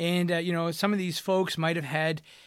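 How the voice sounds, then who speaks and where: A man's high-pitched voice in a very clean recording with a silent background. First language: French. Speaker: physical therapist and podcast host. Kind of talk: educational monologue. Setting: home studio microphone. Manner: animated, hesitant with many fillers.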